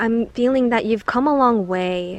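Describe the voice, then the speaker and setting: A woman speaks in a soft-spoken voice. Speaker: tarot card reader. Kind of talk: pick-a-card tarot reading. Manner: slow.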